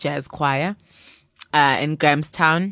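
The sound is dry and close with no echo as a woman talks at a fairly slow pace, her pitch very deep and low and her tone bright and sharp. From South Africa. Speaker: jazz singer. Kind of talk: interview.

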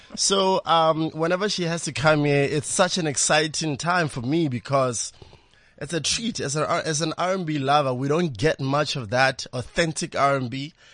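At a fairly slow pace, a man speaks in a fairly high pitch with ordinary pitch variation. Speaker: radio host. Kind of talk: casual chat. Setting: studio. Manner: animated.

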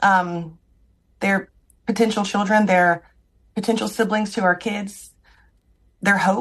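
A woman with an American accent speaks at a fairly slow pace in a medium pitch, somewhat breathy. Her intonation is monotone and flat, with long, frequent pauses. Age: 40s. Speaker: IVF patient. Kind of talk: recorded interview.

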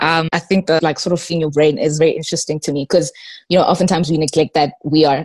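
Talking at a very fast pace with fairly even intonation, a woman uses a fairly low voice, the sound dry and close with no echo. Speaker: student radio host. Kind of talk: interview.

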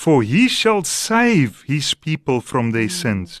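A man with a South African accent speaks at a medium pitch with very wide pitch swings. The sound is dry and close with no echo, over a quiet background. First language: Afrikaans. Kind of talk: faith-based radio interview. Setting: radio studio.

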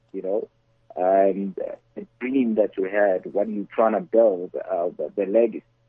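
Using an ordinary speaking voice, a man speaks at a fairly slow pace with lively intonation. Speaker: entrepreneur and investor. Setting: phone call.

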